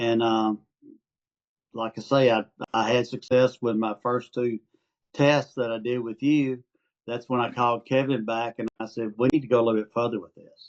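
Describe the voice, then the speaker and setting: A man with an Arkansas accent talks at a moderate pace and a medium pitch, his intonation flat and monotone. His loudness swings widely, and he pauses often and at length. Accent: Southern (Arkansas) accent noticeable. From Arkansas, US South. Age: 70s. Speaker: retired amateur stock trader. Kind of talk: interview. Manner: halting, many fillers.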